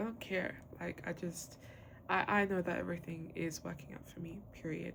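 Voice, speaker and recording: A woman with vocal fry speaks at a moderate pace, her fairly low pitch showing ordinary variation. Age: 20s. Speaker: podcast host. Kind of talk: casual monologue. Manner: casual, filler-heavy.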